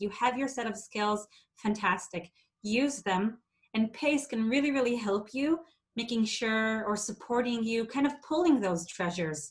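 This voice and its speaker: A woman speaks with an Israeli accent at a moderate pace. Her voice is somewhat breathy and fairly high, with ordinary pitch variation. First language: Hebrew. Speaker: theatre education associate. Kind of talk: workshop presentation. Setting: video call.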